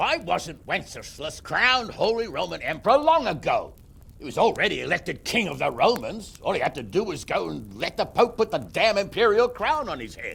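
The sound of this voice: In a put-on character voice, a man speaks high for a man with vocal fry and a fairly bright tone, swinging widely in pitch at a moderate pace with long, frequent pauses.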